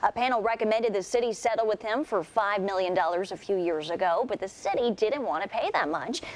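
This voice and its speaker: A woman at medium pitch talks at a very fast pace with hardly any pauses and ordinary pitch variation over noticeable background noise. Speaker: news anchor. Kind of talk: local TV morning news anchor read.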